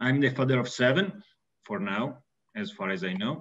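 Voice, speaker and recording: Over a quiet background, a man with an Italian accent speaks at a moderate pace, his pitch swinging very widely. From Italy. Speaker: valve company executive and mechanical engineer. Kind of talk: technical webinar presentation. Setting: video call. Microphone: webcam.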